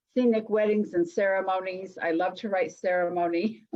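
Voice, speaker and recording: A woman speaks at a moderate pace with a western US accent. Her pitch is medium, with ordinary variation. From Utah, Salt Lake City. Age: 60s. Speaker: psychic and hypnotherapist. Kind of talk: interview.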